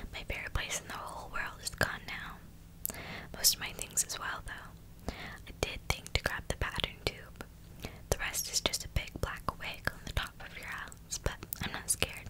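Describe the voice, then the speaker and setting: Against loud background noise, a soft-spoken woman talks. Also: moderate pace. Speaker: storyteller. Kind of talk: dramatic story reading. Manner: soft, hushed ASMR reading voice. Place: home room. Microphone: earbuds.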